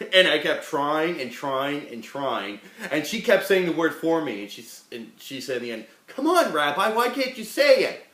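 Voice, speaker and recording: A man with a fairly high pitch speaks at a moderate pace, with very wide pitch swings and big swings in loudness. Audible room echo and noticeable background noise surround him. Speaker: rabbi teaching a class. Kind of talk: lecture. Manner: casual, joking.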